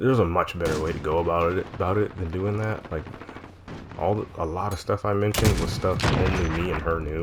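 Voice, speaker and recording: A man talks at a very deep, low pitch with ordinary pitch variation. Audible room echo and noticeable background noise surround him. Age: 20s. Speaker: gaming vlogger. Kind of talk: personal confessional monologue. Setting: talking over gameplay recording.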